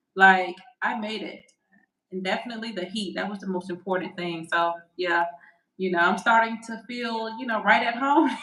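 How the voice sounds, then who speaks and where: A woman with a Southern US accent speaks at a moderate pace in a bright, sharp tone, her medium pitch showing ordinary variation while her loudness swings widely. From US South, Alabama. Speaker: podcast co-host, real estate agent. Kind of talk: casual chat.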